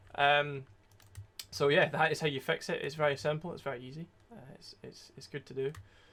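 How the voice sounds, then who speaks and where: In a Scottish accent, a man with a fairly high pitch speaks at a fairly quick pace with fairly even intonation and big swings in loudness. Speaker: security researcher streamer. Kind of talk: tutorial livestream. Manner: casual, hesitant with many fillers.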